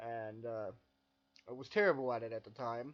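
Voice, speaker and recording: A quiet man's voice in a monotone, flat intonation. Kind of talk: personal reflective narration.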